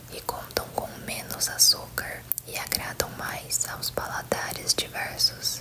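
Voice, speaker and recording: A woman's whisper at a very slow pace, with big swings in loudness over noticeable background noise. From Brazil. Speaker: ASMR content creator. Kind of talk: ASMR whispered facts video. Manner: whispered, soft.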